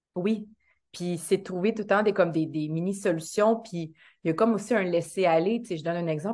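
In a Quebec accent, a woman speaks at a fairly quick pace. The background is quiet. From Quebec, Montreal area, Haitian background. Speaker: actress and dancer. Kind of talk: casual interview chat.

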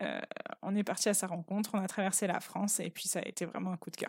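On a very clean recording with a silent background, a woman's intonation stays monotone and flat. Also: dry, close sound with no echo. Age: 20s. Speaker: teacher. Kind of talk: casual interview. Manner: hesitant with fillers.

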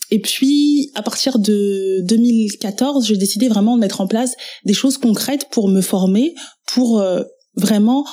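In a very clean recording with a silent background, a somewhat breathy woman with a fairly high pitch speaks at a fairly slow pace, with very even loudness, ordinary pitch variation and a dark, mellow tone. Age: 30s. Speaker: web entrepreneur and trainer. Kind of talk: personal testimony interview.

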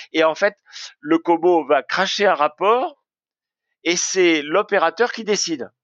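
A man talks in a high voice with ordinary pitch variation. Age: 70s. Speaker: industry researcher and author. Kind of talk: interview. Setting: remote call. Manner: halting.

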